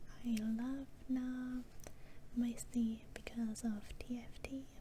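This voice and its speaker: A soft-spoken woman's voice, high in pitch and monotone with flat intonation, over noticeable background noise. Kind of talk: casual talk to camera.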